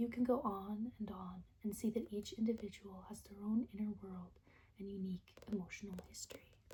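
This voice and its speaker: Someone is whispering. The pace is moderate. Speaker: ASMR creator. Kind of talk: poetry reading. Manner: whispered.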